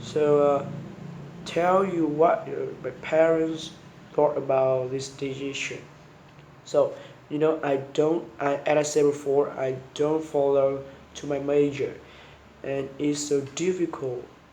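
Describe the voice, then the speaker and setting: At a very slow pace and with long, frequent pauses, a man with a Vietnamese accent speaks in a fairly high pitch and monotone, flat intonation, with audible room echo. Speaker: university student. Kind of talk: spoken homework answers. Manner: halting, many repetitions and restarts.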